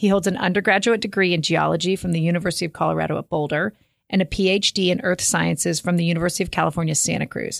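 A woman speaks very fast with an American accent, her fairly low voice showing vocal fry. The sound is dry and close, with no echo. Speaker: podcast co-host. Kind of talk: casual chat. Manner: animated.

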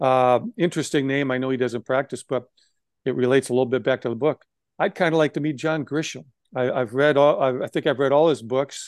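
A man with an American accent uses an ordinary speaking voice at medium pitch, with fairly even intonation and a moderate pace, recorded dry and close with no echo against a quiet background. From Wisconsin. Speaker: former sports executive and lawyer. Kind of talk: interview.

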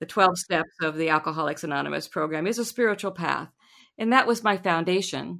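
A woman's bright, sharp, fairly low voice with vocal fry and an American accent, on a very clean recording with a silent background. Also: ordinary pitch variation, fairly quick pace. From US Midwest, Lincoln, Nebraska. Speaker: sound healer. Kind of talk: interview.

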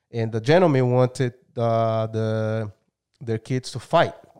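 Very slowly and with long, frequent pauses, a man speaks in a medium-pitched, dark, mellow voice with fairly even intonation. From Brazil. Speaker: martial arts gym owner. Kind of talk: casual interview chat.

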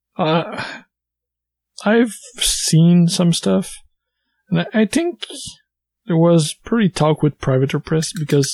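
Somewhat breathy and dark, mellow in tone, a man talks at a fairly slow pace in a dry, close sound with no echo. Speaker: podcast co-host.

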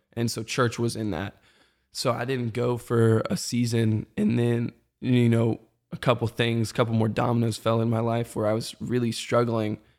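In an American accent, a man speaks at a medium pitch and a moderate pace. His intonation is monotone and flat, on a very clean recording with a silent background. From US South, Metro Atlanta. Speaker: church creative and former college athlete. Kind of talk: casual chat.

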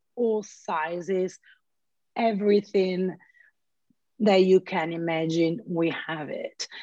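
In an Italian accent, a woman speaks at a very slow pace with ordinary pitch variation. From Italy. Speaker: flight attendant and artist. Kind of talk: casual interview chat. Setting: video call.

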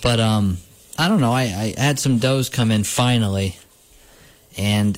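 Speaking at a moderate pace, a man has a plain, everyday voice at a medium pitch. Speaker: radio host. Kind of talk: casual chat.

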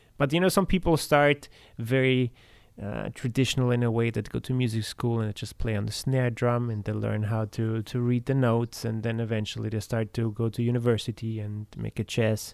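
In a very clean recording with a silent background, a man with a normal speaking voice talks at a moderate pace, his medium pitch held in fairly even intonation. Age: 30s. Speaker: metal drummer. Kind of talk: casual chat.

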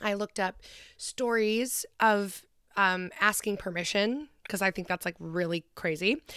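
Recorded very cleanly against a silent background, a woman talks in a normal speaking voice with ordinary pitch variation and a dry, close sound with no echo. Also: medium pitch for a woman, fairly slow pace. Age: 20s. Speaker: podcast co-host. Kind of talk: casual chat; reading aloud.

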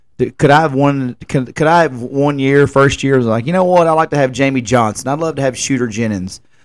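In a Tennessee accent, a man talks at a fairly quick pace with hardly any pauses, his fairly high pitch showing ordinary variation. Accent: Southern US, rural Tennessee. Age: 30s. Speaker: podcast host and music festival promoter. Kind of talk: casual solo podcast monologue. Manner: rambling, informal.

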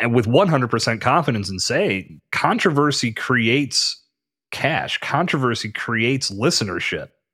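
With an American accent, a man speaks at a fairly slow pace in a bright, sharp tone with lively intonation. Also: medium pitch for a man, very clean recording, silent background. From western Pennsylvania, US. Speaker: podcast host and podcast consultant. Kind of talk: casual interview.

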